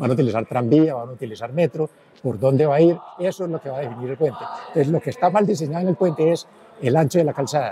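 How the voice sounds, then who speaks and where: A man speaks very fast at a fairly high pitch. His intonation is lively, and background noise is noticeable. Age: 80s+. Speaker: engineer, former city official. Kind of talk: interview.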